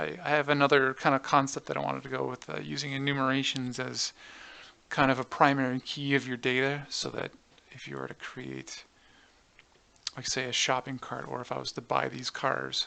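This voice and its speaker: A man speaks at a fairly quick pace, with big swings in loudness. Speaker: game developer tutorial creator. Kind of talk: tutorial. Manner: hesitant, many fillers.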